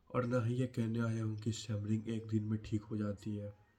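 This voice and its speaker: A man's fairly low, somewhat breathy voice at a fairly slow pace. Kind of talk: personal story and advice talk to camera.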